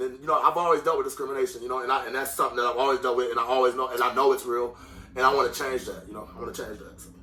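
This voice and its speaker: A man talks very fast, his pitch swinging very widely and his loudness jumping sharply, with noticeable background noise behind him. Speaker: rapper. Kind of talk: interview. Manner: animated.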